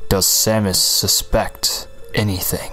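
A put-on character voice at a fairly slow pace. Background noise is clearly audible. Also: man. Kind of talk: terse, radio-style.

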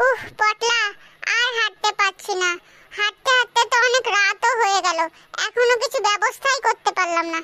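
Using a cartoonish character voice, a woman speaks at an extremely high pitch and a moderate pace, with ordinary pitch variation. Her loudness is very even, and the sound is dry and close with no echo. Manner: scared, pleading.

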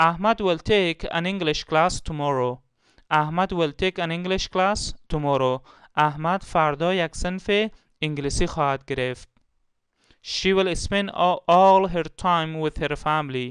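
A high-pitched man's voice with an Afghan accent, over a quiet background. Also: ordinary pitch variation. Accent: Afghan Dari Persian. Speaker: English teacher. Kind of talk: tutorial. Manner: slow, repeating each example twice.

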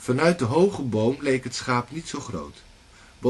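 This is a natural reading voice. The words are read out.

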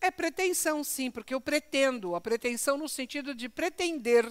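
Her high-pitched voice carries an animated, warm tone with lively intonation. The woman's sound is dry and close, with no echo. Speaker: lecturer at a spiritist center. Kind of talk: religious lecture. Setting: in front of a live audience in a center.

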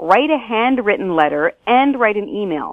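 A woman with a Canadian accent talks in an unremarkable speaking voice, medium in pitch, at a moderate pace with lively intonation. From British Columbia, Canada. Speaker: taxpayer advocacy director. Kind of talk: interview.

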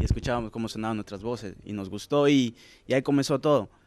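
Fairly even intonation carries this man's speech. He goes at a very fast pace. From Latin America, childhood until 7, then Sweden. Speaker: singer; interviewee. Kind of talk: casual interview. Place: hall. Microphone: handheld.

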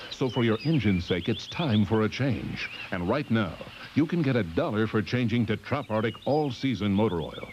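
Noticeable background noise fills the clip. Over it, a man talks at a moderate pace with ordinary pitch variation. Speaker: commercial announcer. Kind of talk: advertising voice-over.

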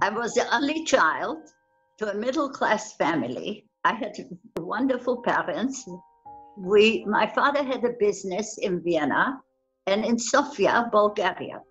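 Faint music plays in the background as a woman speaks at a fairly high pitch. She talks fairly slowly with lively intonation. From Austria. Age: 90s. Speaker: Holocaust survivor. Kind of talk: testimony. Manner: halting. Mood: somber, earnest. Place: home room. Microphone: webcam.

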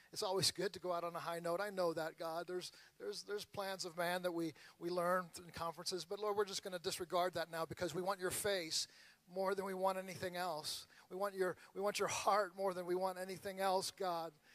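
Speaking fairly quickly in a high pitch, a man keeps a monotone, flat intonation, and the sound is dry with no echo. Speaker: pastor. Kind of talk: prayer. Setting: church with audience. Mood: earnest, prayerful. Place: church. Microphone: handheld.

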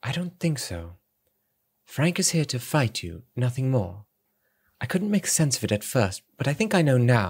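On a very clean recording with a silent background, a man speaks at a moderate pace and a medium pitch, somewhat breathy. His pitch swings very widely, and his pauses are long and frequent. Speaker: audiobook narrator. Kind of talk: dramatic audiobook reading.

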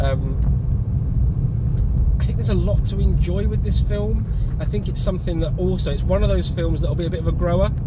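A man talks at a very fast pace. Loud background noise is heard behind him. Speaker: passenger reviewing a film. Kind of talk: casual vlog chat. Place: car. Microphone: phone near.

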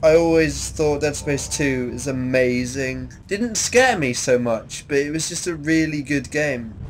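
Against noticeable background noise and audible room echo, a man speaks at a moderate pace in a fairly high voice. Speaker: gaming youtuber. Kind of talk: let's play commentary. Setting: wearing headphones while gaming. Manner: loud.

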